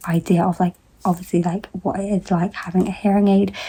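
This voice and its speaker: A woman quiet and very fast, with a fairly low pitch, a dark, mellow tone, a somewhat breathy quality and monotone, flat intonation. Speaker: vlogger. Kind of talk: casual vlog. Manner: quiet, low volume; filler-heavy, informal.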